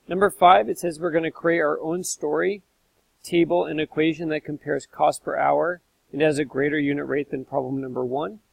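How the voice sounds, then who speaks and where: This man has an unremarkable speaking voice, fairly high in pitch with ordinary variation. He talks at a fairly quick pace. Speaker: math teacher. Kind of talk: tutorial.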